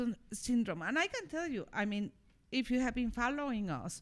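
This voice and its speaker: In a very clean recording with a silent background, a woman with a non-native accent speaks at a high pitch with lively intonation. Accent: noticeable non-native accent in English. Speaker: podcast co-host, former literature professor. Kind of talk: casual podcast discussion.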